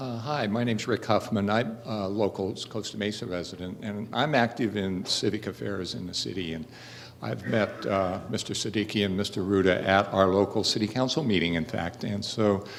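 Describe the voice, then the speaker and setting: Audible room echo surrounds a man whose fairly low voice moves at a moderate pace with ordinary pitch variation. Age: 70s. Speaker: audience member asking question. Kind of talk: audience question. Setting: town hall with audience. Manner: halting, many fillers.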